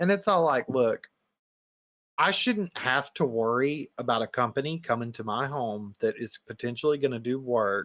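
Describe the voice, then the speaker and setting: A man's medium-pitched voice in a Southern US accent, lively intonation, and a moderate pace, with dry, close sound, no echo, and a very clean recording with a silent background. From US Southeast. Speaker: podcast co-host. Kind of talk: casual chat. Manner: animated.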